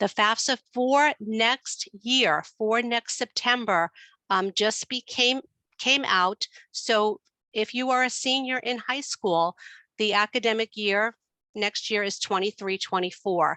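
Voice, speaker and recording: A woman with a New York accent at a very slow pace, fairly high pitch, ordinary pitch variation, very even loudness, dry and close with no echo. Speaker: student finance expert. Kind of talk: webinar presentation.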